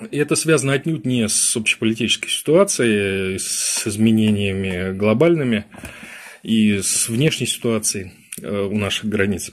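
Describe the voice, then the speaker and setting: This man's pitch is fairly low, with ordinary pitch variation. He talks at a fairly slow pace. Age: 50s. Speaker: political strategist; webinar host. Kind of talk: webinar lecture; lecture. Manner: halting. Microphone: webcam.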